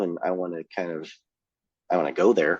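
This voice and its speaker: A man with a Californian accent at a moderate pace, in a dry, close sound with no echo over a quiet background. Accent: California. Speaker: punk band singer. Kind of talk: casual chat. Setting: podcast interview.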